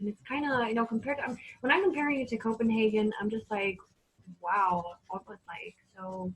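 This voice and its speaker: A woman with a fairly high, somewhat breathy voice speaks at a moderate pace, her pitch varying in an ordinary way. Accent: Danish. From northern Denmark, Aalborg. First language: Danish. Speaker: teacher, singer and dancer. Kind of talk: casual interview. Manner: halting, many fillers.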